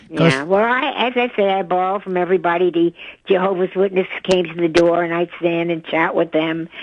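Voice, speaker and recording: A woman with a New York accent talks at a fairly quick pace, her fairly low pitch held in fairly even intonation. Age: 90s. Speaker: yoga teacher. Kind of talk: radio interview answer. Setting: phone line.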